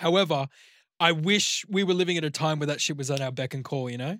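A man speaks very fast in a bright, sharp tone, his pitch fairly high. His pitch varies in an ordinary way, and the recording is very clean with a silent background. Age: young. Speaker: podcast co-host. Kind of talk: casual chat.

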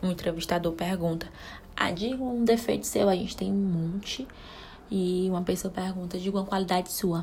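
Somewhat breathy, this woman's voice has fairly even intonation. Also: medium pitch for a woman, moderate pace. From Brazil, Ceará (Caucaia, near Fortaleza). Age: 20s. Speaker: podcast host, mother. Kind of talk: casual solo chat. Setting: home bathroom.

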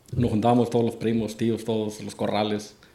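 A man at a medium pitch, with audible room echo. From Mexico. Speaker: charreada announcer, former coleador. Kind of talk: casual interview chat.

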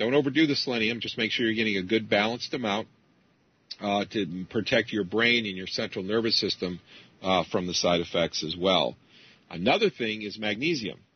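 Fairly quick delivery in an ordinary speaking voice, the pitch varying in an ordinary way. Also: man, fairly low pitch for a man. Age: 50s. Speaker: computer programmer and geoengineering researcher. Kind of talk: interview.

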